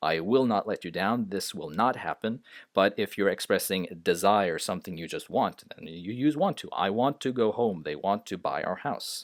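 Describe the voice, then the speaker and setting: With a non-native accent, a man speaks at a moderate pace in a fairly low pitch with lively intonation and hardly any pauses, on a very clean recording with a silent background. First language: not English. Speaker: English grammar teacher. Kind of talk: tutorial. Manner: hesitant, many filler sounds.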